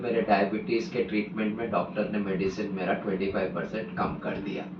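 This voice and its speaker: Both room echo and background noise are clearly heard around a man's voice. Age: 60s. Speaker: real estate consultant, vegan advocate. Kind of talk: interview testimony.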